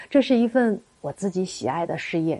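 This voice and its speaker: A woman's dark, mellow tone at medium pitch, with lively intonation. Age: 40s. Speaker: marriage counselor. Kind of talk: scripted narration.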